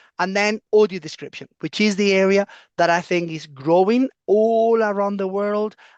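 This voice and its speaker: A voice with a Spanish accent over a quiet background. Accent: foreign, non-British (Spanish). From Spain. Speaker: professor. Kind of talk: lecture.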